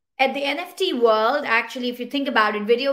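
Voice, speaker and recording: With a Pashto accent, the speaker talks at a fairly quick pace. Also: woman. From Pakistan. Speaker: panel moderator, tech startup founder. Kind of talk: online panel discussion.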